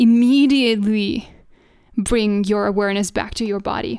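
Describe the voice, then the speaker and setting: This woman speaks with a fairly high pitch and fairly even intonation. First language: not English. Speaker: podcast host and feminine mentor. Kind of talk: solo monologue, coaching-style talk. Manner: warm, affectionate, inspirational.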